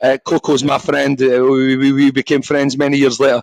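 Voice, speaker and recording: In a strong Scottish accent, a man with a fairly high pitch is heard in a dry, close sound with no echo. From Scotland. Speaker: former professional boxer. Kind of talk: casual podcast interview. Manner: halting, repeats words.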